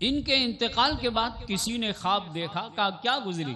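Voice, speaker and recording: A man's raised, projected voice. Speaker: Islamic scholar, hadith teacher. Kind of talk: religious sermon (bayan) at an annual gathering. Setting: public event with PA system.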